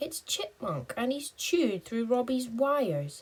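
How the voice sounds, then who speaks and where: Using a put-on character voice, a woman speaks high and at a fairly slow pace. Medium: read story.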